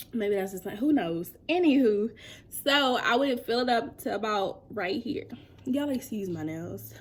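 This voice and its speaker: A woman with a plain, everyday voice speaks at a fairly slow pace. Her pitch is fairly high and her intonation lively. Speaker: beauty vlogger. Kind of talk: casual vlog tutorial.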